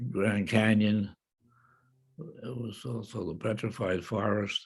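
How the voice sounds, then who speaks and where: A man speaks very slowly in a fairly low, somewhat breathy voice with an American accent and flat, monotone intonation. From Cleveland, Ohio. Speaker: World War II veteran. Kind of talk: interview answer.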